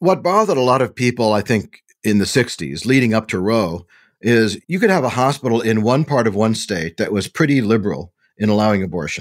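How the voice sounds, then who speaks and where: This is a man with an ordinary speaking voice. He talks at a fairly quick pace and a medium pitch. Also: very clean recording, silent background. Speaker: bioethicist and historian co-host. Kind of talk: podcast discussion and narration.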